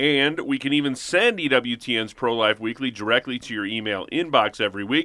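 A man with an ordinary speaking voice talks at a medium pitch with lively intonation. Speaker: radio show co-host. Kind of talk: casual radio call-in show. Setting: studio.

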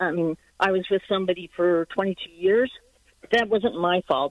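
A woman speaks in a plain, everyday voice at a fairly low pitch. Her pitch variation is ordinary. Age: 50s. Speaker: caller, retired psychiatrist. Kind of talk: personal testimony on call-in show.

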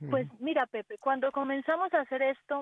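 A woman's high-pitched voice. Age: 40s. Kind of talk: radio interview.

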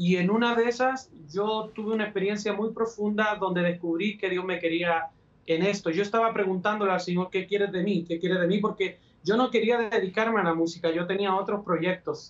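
Pitched high, a man talks at a fairly quick pace. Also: fairly even intonation. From Chile, Valparaíso. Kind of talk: interview testimony. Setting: friend's home recording studio, remote video.

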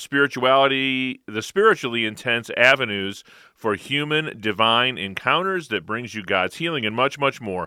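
A man with an unremarkable speaking voice talks at a medium pitch and moderate pace. His intonation is lively, and he hardly pauses. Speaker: radio co-host. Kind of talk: call-in radio show. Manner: upbeat.

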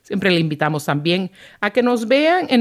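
Recorded dry and close with no echo, a woman's voice moves in very wide pitch swings. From Puerto Rico. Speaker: radio host. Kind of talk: live radio talk show. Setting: studio.

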